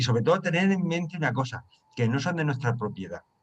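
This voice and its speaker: Speaking at a very fast pace, a man uses a fairly high pitch with ordinary variation and a somewhat breathy quality. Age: 60s. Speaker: study group leader. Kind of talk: group discussion.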